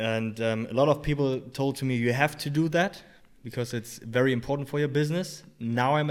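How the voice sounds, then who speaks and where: In a very clean recording with a silent background, a man with a German accent talks at a fairly quick pace with ordinary pitch variation. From Germany. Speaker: personal trainer and rehab coach. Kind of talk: casual interview. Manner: halting, many fillers.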